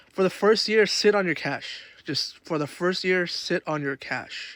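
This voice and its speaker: The recording is very clean, with a silent background. A man speaks in a high pitch. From outside the United States. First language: not English (English his third language). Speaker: lifestyle content creator. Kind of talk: casual vlog advice talk. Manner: casual, filler-heavy rambling.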